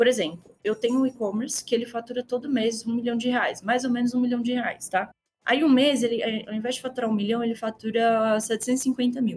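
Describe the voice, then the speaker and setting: A woman with a Minas Gerais accent talks at a fairly quick pace in a high pitch with fairly even intonation. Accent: Minas Gerais Brazilian Portuguese. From Brazil, Minas Gerais (Belo Horizonte). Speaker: customer success manager. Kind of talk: podcast interview.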